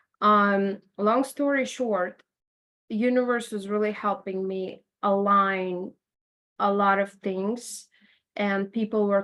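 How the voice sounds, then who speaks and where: A woman speaks at a medium pitch with a Latvian accent. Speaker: interviewee sharing life story. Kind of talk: podcast interview. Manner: conversational with fillers.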